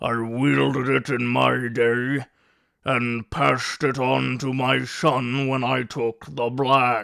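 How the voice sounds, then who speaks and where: A man speaks very slowly in a put-on character voice. His medium-pitched delivery is monotone and flat. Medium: read story. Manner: gruff, blunt.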